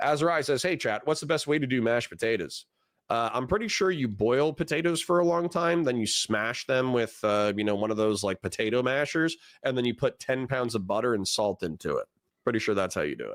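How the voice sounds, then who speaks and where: A man with a plain, everyday voice, medium pitch and lively intonation talks at a fairly quick pace on a very clean recording with a silent background and a dry, close sound with no echo. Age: 30s. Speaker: political streamer. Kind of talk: live stream reaction commentary. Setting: live stream with chat. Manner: casual, conversational.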